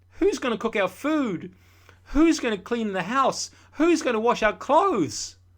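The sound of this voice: A man's put-on character voice at an extremely high pitch, with big pitch swings and a fairly slow pace.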